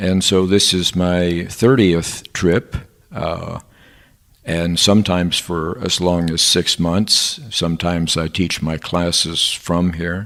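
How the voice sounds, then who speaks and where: A man with an American accent, very deep, low pitch, fairly even intonation, and a very slow pace. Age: 70s. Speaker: professor. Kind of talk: interview. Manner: halting, with many filler sounds.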